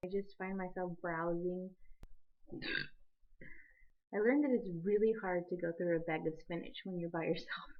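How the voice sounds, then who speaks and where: Pitch rises and falls in the usual way in a normal speaking voice. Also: woman. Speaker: college student. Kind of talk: casual video diary to camera.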